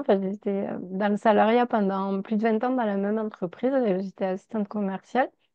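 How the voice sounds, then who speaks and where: A woman speaks with a Toulouse accent. Her pitch is fairly high. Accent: southern French (Toulouse). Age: 40s. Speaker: numerologist. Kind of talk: casual chat. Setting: video call. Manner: chatty.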